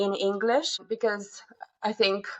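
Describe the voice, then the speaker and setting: Monotone, flat intonation in a woman's voice at a medium pitch. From Moldova, Chisinau. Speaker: university staff member. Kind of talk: podcast interview.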